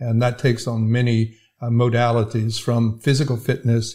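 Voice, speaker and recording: In an American accent, a man talks at a moderate pace with a dark, mellow, somewhat breathy tone, recorded very cleanly over a silent background. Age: 70s. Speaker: healthcare IT executive and veteran. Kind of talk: casual interview. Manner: hesitant with fillers.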